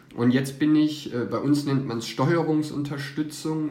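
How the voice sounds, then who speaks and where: A man talks at a fairly slow pace in a flat, monotone way. Noticeable background noise runs underneath. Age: 30s. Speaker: public administration employee. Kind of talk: interview.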